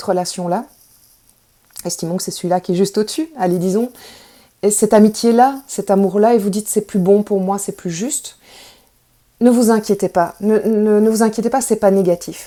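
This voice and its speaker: This woman's voice has a medium pitch and a dark, mellow tone. She speaks at a moderate pace with ordinary pitch variation. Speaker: tarot reader. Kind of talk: spiritual guidance talk.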